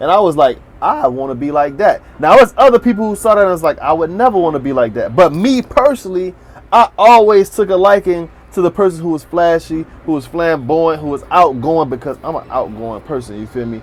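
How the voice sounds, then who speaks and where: A man with an American accent, high pitch, very wide pitch swings, and a fairly quick pace, against noticeable background noise. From South Florida, Miami area. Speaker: YouTube commentator. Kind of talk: casual monologue commentary.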